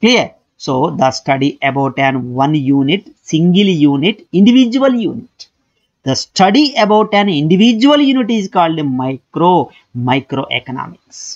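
A high-pitched man speaks with very wide pitch swings against a quiet background. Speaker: economics lecturer. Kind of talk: lecture.

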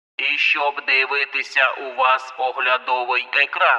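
Putting on a robotic character voice, a man speaks at a fairly slow pace and a fairly high pitch. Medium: read story. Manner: clipped, commanding.

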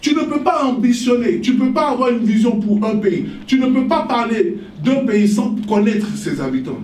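Audible room echo surrounds a man speaking at a moderate pace with an extremely high pitch and ordinary pitch variation. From Côte d'Ivoire. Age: 40s. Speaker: politician and author. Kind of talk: interview about his book. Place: hall. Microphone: podium.

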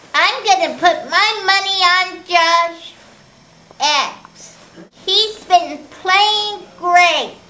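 This put-on character voice sits at an extremely high pitch and moves at a very slow pace. Long pauses come often. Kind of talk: sports commentary. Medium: comedy sketch.

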